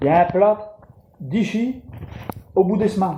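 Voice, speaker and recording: A man speaks with a northern French accent and ordinary pitch variation. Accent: Ch'ti (Picard) dialect. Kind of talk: humorous monologue to camera. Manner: casual, jokey.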